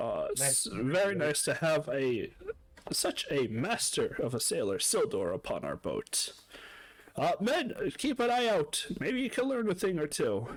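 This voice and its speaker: A man does a put-on character voice with a high pitch. He speaks at a fairly slow pace with long, frequent pauses. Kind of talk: old wise man voice. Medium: actual play.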